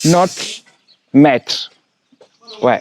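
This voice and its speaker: In an Italian accent, a man speaks at a very slow pace with a fairly high pitch, recorded with a dry, close sound and no echo. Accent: French affected by Italian habits. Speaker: construction site manager. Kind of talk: site tour presentation. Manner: hesitant, with restarts.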